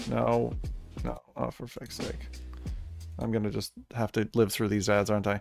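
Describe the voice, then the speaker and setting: Over clear music in the background, a man with a fairly low pitch speaks at a moderate pace in a dry sound with no echo. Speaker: streamer reacting to trailers. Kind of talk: casual reaction commentary. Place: home room. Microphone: studio mic.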